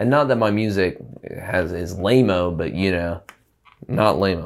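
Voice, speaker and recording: A man speaks with an Alabama accent. His pitch is very deep and low. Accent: Alabama Southern US. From small-town Alabama (Prattville). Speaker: musician. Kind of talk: casual chat. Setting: studio.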